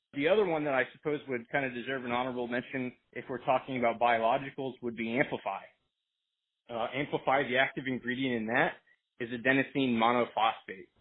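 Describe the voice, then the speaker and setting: A man talks at a very fast pace with fairly even intonation. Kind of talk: conference call product explanation. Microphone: phone line.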